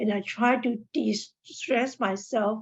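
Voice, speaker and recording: Somewhat breathy, a woman speaks at a fairly high pitch with ordinary pitch variation. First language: not English. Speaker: mental health advocate. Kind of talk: seminar talk.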